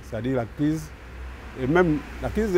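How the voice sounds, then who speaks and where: The pace of this man's speech is fairly slow. His pitch shows ordinary variation. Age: 60s. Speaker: consumer association president. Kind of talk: talk show discussion.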